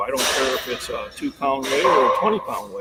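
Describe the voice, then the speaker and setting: Noticeable background noise fills the recording. Over it, a man speaks at a fairly quick pace. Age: 50s. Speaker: fitness channel host. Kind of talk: live stream chat with guest. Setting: live stream video call. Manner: halting, many fillers.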